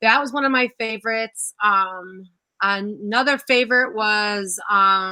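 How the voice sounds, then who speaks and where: On a very clean recording with a silent background, a woman speaks loudly and fairly slowly, her fairly high voice bright and sharp in tone, with ordinary pitch variation. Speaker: first-grade teacher. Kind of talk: casual chat. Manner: animated.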